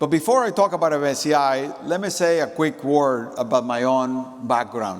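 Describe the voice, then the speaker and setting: Barely pausing, a man talks at a fairly high pitch with lively intonation. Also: moderate pace. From Nicaragua. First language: Spanish. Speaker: company executive. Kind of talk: conference keynote speech. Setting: stage with audience.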